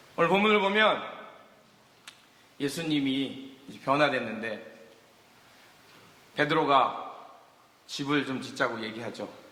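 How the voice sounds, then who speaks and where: Lively intonation and big swings in loudness come through at a fairly slow pace with long, frequent pauses, amid noticeable background noise and audible room echo. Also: man, fairly high pitch for a man. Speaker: guest pastor. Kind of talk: sermon. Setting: church with congregation.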